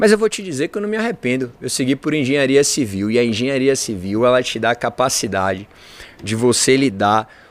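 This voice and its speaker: This man speaks with a Bahian accent at a medium pitch. His pace is fairly quick. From Bahia, Brazil (Salvador). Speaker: engineer and entrepreneur. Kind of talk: podcast interview.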